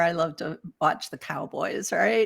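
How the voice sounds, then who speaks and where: In a Detroit accent, a woman speaks at a moderate pace with lively intonation. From Detroit, east side. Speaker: spiritual teacher. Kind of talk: casual chat. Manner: animated.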